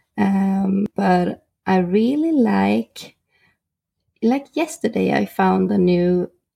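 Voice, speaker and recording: This is a woman speaking. She has a Swedish accent. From Sweden, Norrköping. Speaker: photographer. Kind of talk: interview.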